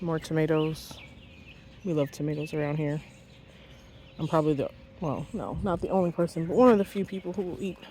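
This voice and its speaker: A woman with a very deep, low pitch talks at a fairly quick pace, with ordinary pitch variation and long, frequent pauses. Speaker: home gardener. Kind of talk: casual garden tour to camera. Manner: impromptu, unscripted.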